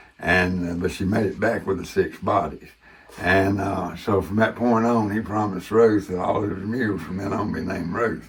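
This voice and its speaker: Relaxed in tone, a man with a Southern US accent talks at a moderate pace and a fairly low pitch. Noticeable background noise is present. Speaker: war veteran and former ranch manager. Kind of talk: casual tour and storytelling. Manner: relaxed with frequent fillers.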